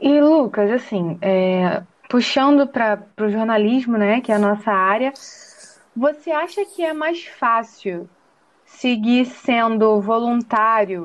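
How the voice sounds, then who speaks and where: A woman speaks at a very slow pace. Her voice has a fairly high pitch and lively intonation. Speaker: podcast co-host, journalism student. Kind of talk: interview.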